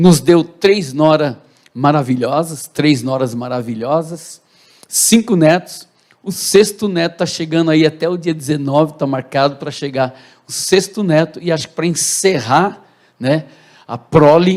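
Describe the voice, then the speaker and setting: Talking at a fairly slow pace, a man with a plain, everyday voice uses a fairly high pitch and ordinary pitch variation. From Brazil, Santo André (São Paulo). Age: 60s. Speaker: pastor. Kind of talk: testimony. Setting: church.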